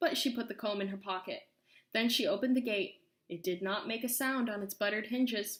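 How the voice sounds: Ordinary pitch variation in a natural reading voice, quiet background behind it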